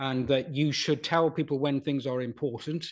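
A man with a south Wales accent, fairly high pitch, ordinary pitch variation and a fairly quick pace, over a quiet background. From Wales, Pontypool. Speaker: retired broadcast journalist. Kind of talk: interview conversation.

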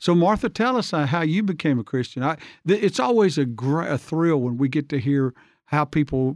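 With an Alabama accent, a man talks at a fairly quick pace in a fairly high pitch against a quiet background. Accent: Southern US (Alabama). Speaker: church podcast host. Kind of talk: casual interview.

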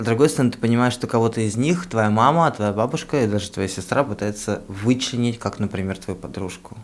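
An ordinary speaking voice moves at a fairly quick pace with hardly any pauses. Its pitch varies in an ordinary way. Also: man, medium pitch for a man. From Russian provinces. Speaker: podcast co-host. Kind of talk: casual chat.

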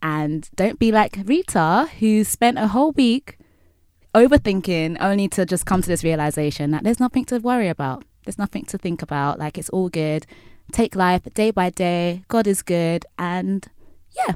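Lively intonation at a moderate pace, on a very clean, dry, close recording with a silent background and no echo. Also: woman, medium pitch for a woman. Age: 20s. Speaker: podcast host. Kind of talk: solo monologue to listeners; casual chat. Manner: animated.

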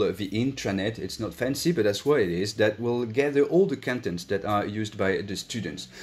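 A man's fairly low voice with a French accent and ordinary pitch variation. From France. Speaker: school director. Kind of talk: online panel talk. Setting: online session.

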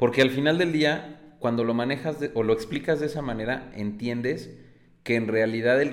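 A man's medium-pitched speech carries audible room echo. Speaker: podcast host. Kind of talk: casual interview chat.

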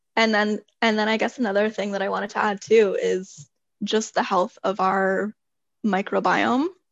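A woman with a Canadian accent talks at a moderate pace in an ordinary speaking voice of medium pitch, her intonation fairly even. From Toronto, Canada. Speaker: holistic nutritionist. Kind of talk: casual interview chat.

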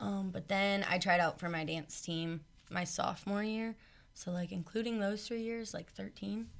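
Speaking at a moderate pace, a woman uses an unremarkable speaking voice, fairly low in pitch with ordinary pitch variation. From Nebraska. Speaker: college student dancer. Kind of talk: casual chat.

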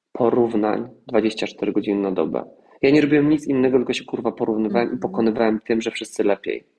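Man with an ordinary speaking voice, medium pitch, and a fairly quick pace. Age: 30s. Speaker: actor and singer. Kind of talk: casual chat.

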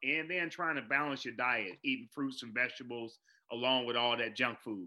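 With a normal speaking voice, a man talks at medium pitch and a moderate pace. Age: 40s. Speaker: educator and keynote speaker. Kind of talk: interview.

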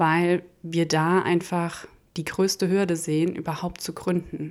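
A woman's fairly low, monotone, flat voice on a very clean recording with a silent background. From Hesse, Germany (small village). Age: 30s. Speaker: startup accelerator program head. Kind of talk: interview. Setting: living room recording.

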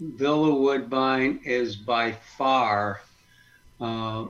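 Using ordinary pitch variation at a medium pitch, a man talks with an American accent. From Western New York. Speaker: caterer, business owner. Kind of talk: podcast interview.

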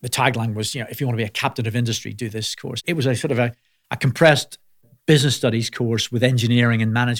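A man with a Belfast accent keeps his intonation fairly even. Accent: Belfast Northern Irish. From Northern Ireland, Belfast. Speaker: healthcare company CEO. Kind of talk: interview conversation.

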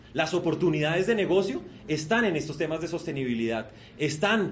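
With audible room echo and noticeable background noise, a man speaks in an animated tone, his pitch fairly high and his intonation lively. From Colombia, Bogotá. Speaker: sustainability entrepreneur. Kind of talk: keynote presentation.

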